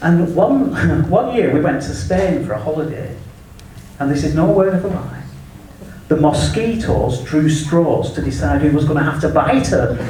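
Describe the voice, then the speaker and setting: Lively intonation comes at a moderate pace, with audible room echo and noticeable background noise. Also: man, fairly high pitch for a man. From England. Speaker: comedian. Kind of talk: stand-up. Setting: stage with audience.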